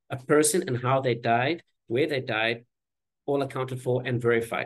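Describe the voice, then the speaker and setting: Somewhat breathy and at a medium pitch, a man speaks at a fairly quick pace. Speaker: environmental activist. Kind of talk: panel presentation. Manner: fast.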